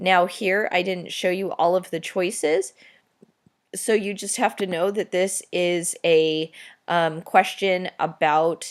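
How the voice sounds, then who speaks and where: Fairly low in pitch, a woman speaks in a normal speaking voice at a fairly slow pace with ordinary pitch variation, in a very clean recording with a silent background. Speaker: teacher. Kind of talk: exam review tutorial.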